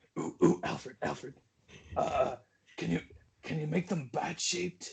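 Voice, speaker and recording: A man puts on a growling character voice. He delivers it at a moderate pace. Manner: superhero growl.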